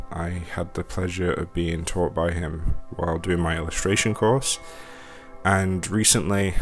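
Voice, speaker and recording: Music plays behind a man with a very deep, low voice. He speaks at a moderate pace with fairly even intonation. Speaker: book reviewer. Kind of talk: casual book review. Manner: calm, gentle; halting, many fillers.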